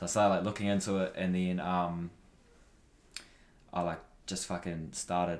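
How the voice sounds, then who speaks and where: A man with a New Zealand accent speaks at a moderate pace, using a very deep, low pitch and monotone, flat intonation, with long, frequent pauses. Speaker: podcaster and athlete. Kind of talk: casual interview chat.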